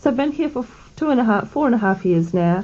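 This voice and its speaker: A woman's voice over noticeable background noise. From South Africa, Pretoria. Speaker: midwifery student. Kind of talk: radio interview. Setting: radio studio.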